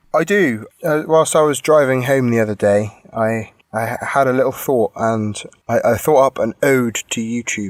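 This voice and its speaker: This man has an English accent and a medium pitch. He talks at a moderate pace with ordinary pitch variation. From England, Bristol. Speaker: podcast co-host. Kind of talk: reading aloud; casual chat.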